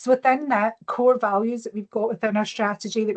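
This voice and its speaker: In a Glaswegian accent, a woman talks fairly quickly at a fairly high pitch with monotone, flat intonation, the sound dry and close with no echo. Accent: Glaswegian Scottish. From Scotland, Glasgow. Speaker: corporate social impact lead. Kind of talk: presentation. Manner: fast.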